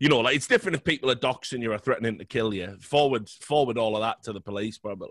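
Very fast talk with hardly any pauses, ordinary pitch variation and a dry, close sound with no echo. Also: man, medium pitch for a man. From Britain. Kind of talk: casual chat. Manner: animated.

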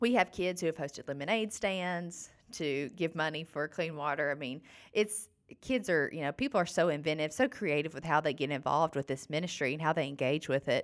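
The speaker talks fairly quickly with an Alabama accent and ordinary pitch variation, in a very clean recording with a silent background. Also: woman, very deep, low pitch for a woman. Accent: Southern US (Alabama). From US South, northern Alabama. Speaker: nonprofit clean water program staff. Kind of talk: casual interview. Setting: podcast studio.

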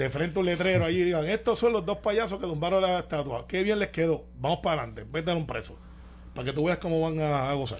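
At a very fast pace, a man speaks with fairly high pitch. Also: ordinary pitch variation. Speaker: radio show panelist. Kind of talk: casual chat.

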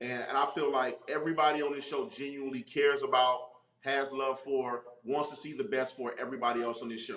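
Speaking very fast in an American accent, a man keeps medium pitch with ordinary pitch variation. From North Carolina. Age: 40s. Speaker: actor and comedian. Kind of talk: casual interview.

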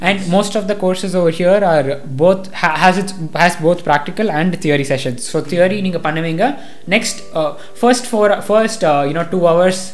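A high-pitched man with a Tamil Nadu accent, amid noticeable background noise and audible room echo. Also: ordinary pitch variation, moderate pace. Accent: Tamil Indian English. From India, Coimbatore, Tamil Nadu. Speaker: university student. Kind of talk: casual chat. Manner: hesitant, many fillers.

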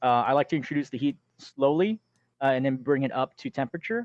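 A man speaks at a moderate pace in a normal speaking voice. The sound is dry and close with no echo, over a quiet background. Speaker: forum admin.

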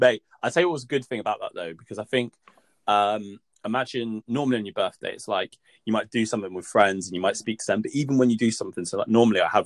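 In an English accent, a man talks at a very fast pace with big swings in loudness, the sound dry and close with no echo. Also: medium pitch for a man, ordinary pitch variation. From England. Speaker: podcast co-host. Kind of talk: casual chat.

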